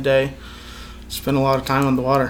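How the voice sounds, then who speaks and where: A man's fairly high voice at a very fast pace, with audible room echo. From Reno, Nevada, US. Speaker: fly fishing guide. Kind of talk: casual interview. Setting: on location near a lake lodge.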